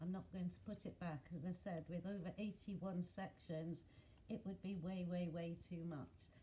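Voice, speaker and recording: A woman's fairly low, somewhat breathy voice with a dark, mellow tone, a British accent, monotone, flat intonation and a fairly slow pace. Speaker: craft video maker. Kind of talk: craft flip-through tutorial. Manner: casual with fillers.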